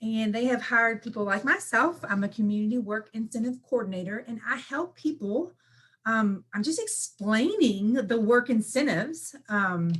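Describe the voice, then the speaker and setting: A woman speaks in a fairly high, somewhat breathy voice with lively intonation. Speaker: benefits work incentive coordinator. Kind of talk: presentation. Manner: fast.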